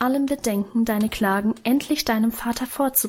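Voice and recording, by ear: Natural-voiced reading aloud, its pitch rising and falling in the usual way.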